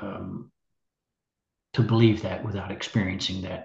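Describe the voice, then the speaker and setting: A man with an American accent speaks with fairly low pitch and fairly even intonation. His voice is somewhat breathy. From US South, Nashville, Tennessee. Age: 60s. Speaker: musician. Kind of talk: interview. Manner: halting.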